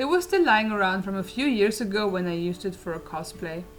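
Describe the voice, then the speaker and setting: Over music in the background, a woman talks at a fairly quick pace with a medium pitch and ordinary pitch variation. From Germany. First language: German. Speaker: crochet crafter. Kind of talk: casual talk to camera.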